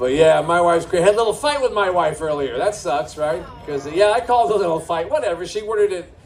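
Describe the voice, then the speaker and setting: A man talks at a very fast pace with hardly any pauses, his high pitch and lively intonation standing out. Audible room echo and noticeable background noise fill the recording. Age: 60s. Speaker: stand-up comedian. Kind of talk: stand-up with crowd work. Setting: stage with live audience at a brewery.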